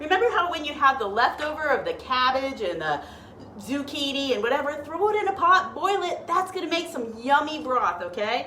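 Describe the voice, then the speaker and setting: Against noticeable background noise and audible room echo, a woman speaks at a fairly quick pace in a high pitch with very wide pitch swings. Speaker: health and diet coach. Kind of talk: live cooking stream. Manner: casual, chatty; whispering at times.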